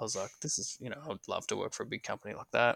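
With an Australian accent, a man talks over a silent background in a very clean recording. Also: dry, close sound with no echo. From northeast Victoria, Australia. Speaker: heating and cooling business owner. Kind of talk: casual interview chat.

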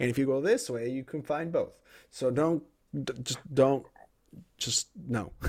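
Pausing long and often, a man talks at a fairly slow pace and fairly high pitch with ordinary pitch variation. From Colombia (Bogota), raised in US (Nebraska). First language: Spanish. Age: 20s. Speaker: author and podcaster. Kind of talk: casual interview conversation. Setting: video call. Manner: energetic, enthusiastic.

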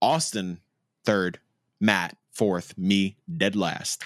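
A man speaks at a very slow pace with a fairly low pitch and lively intonation. The sound is dry and close with no echo, on a very clean recording with a silent background. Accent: New York. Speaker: podcast host. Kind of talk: casual chat.

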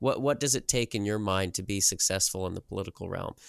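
A man in a Midwestern American accent, fairly low in pitch and very fast, on a very clean recording with a silent background. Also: dry, close sound with no echo. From US Midwest, southeast Nebraska. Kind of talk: interview.

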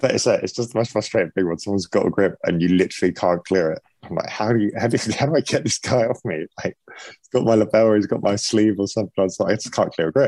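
Talking at a very fast pace with hardly any pauses, a man with a southern English accent has a fairly low pitch, a dark, mellow tone and ordinary pitch variation. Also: dry, close sound with no echo. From England. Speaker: MMA fighter and gym owner. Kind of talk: casual interview.

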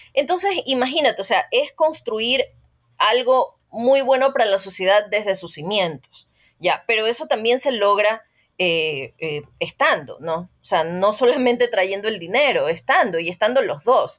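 A woman speaks at a fairly slow pace. Her fairly high voice makes very wide pitch swings. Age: 40s. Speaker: journalist. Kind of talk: interview.

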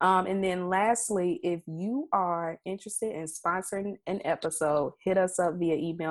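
Intonation stays fairly even as a woman speaks at a medium pitch. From Mississippi, US South. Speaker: podcast co-host. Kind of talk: casual chat.

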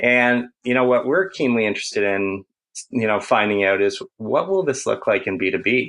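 With a Canadian accent, a man in an ordinary speaking voice talks at a moderate pace and medium pitch, his lively intonation delivered at very even loudness. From Canada. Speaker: marketing agency founder. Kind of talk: podcast interview. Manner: conversational with filler words.

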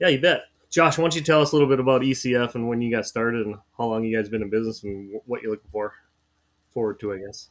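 With an Upper Midwest accent, a man talks at a very fast pace with ordinary pitch variation, recorded very cleanly against a silent background. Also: medium pitch for a man. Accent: Upper Midwest American. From North Dakota (Fargo). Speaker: podcast co-host, snow contractor. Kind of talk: casual chat.

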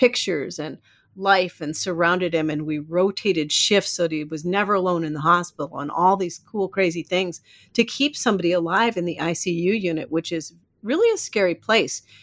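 Speaking with an American accent in a plain, everyday voice, a woman with a fairly low pitch and ordinary pitch variation keeps a moderate pace on a very clean recording with a silent background. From US Midwest (Iowa). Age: 50s. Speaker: life coach. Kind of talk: casual chat.

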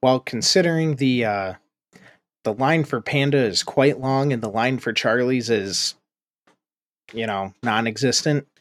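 A man speaks at a fairly slow pace with long, frequent pauses, a medium pitch and ordinary pitch variation. The sound is dry and close with no echo on a very clean recording with a silent background. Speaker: tabletop game master and podcast host. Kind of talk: actual-play roleplaying game. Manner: playful.

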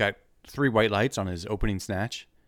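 Recorded very cleanly with a silent background, a man talks. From Wilmington. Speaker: weightlifting coach. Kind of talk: casual chat. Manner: hesitant, many fillers.

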